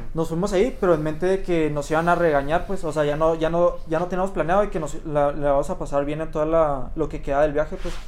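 Speech comes at a very fast pace with hardly any pauses and fairly even intonation, with audible room echo. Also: man, fairly high pitch for a man. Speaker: podcast host. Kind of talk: casual chat.

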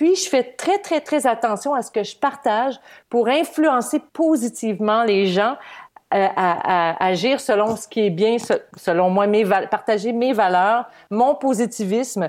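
Pitch sits fairly high as a woman talks at a very slow pace with lively intonation. The recording is very clean, with a silent background. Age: 50s. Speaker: social media influencer and former TV weather presenter. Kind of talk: casual interview.

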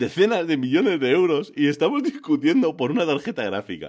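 A man's fairly high, animated voice with vocal fry, very wide pitch swings and a moderate pace. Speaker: podcaster. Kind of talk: casual chat.

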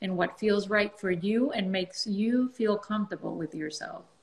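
The speaker has a non-native accent and a somewhat breathy voice, talking at a moderate pace. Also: woman. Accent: foreign. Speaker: dermatologist. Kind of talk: casual interview.

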